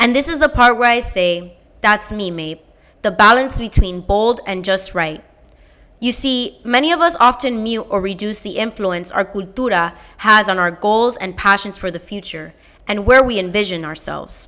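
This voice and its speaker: A loud woman with a bright, sharp tone and medium pitch speaks at a moderate pace with lively intonation, on a very clean recording with a silent background. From Miami, Florida. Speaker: fellowship applicant. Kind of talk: scripted narration. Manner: animated.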